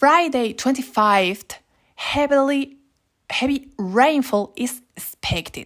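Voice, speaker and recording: A woman with a Spanish accent speaks at a very slow pace. Her high voice carries lively intonation. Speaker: YouTuber. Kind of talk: informative explainer. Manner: halting.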